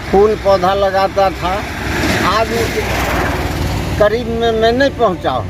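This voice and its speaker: Noticeable background noise and audible room echo accompany a man with a high pitch and ordinary pitch variation. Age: 60s. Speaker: retired teacher, tree planter. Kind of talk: interview.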